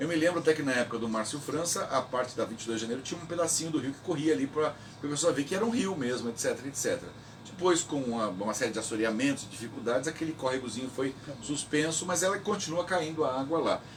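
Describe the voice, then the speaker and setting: A man's fairly high voice, very fast and lively in intonation, over noticeable background noise. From Brazil, São Vicente (São Paulo coast). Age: 60s. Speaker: local historian, president of a historical institute. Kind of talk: radio interview. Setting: radio interview recorded at the institute.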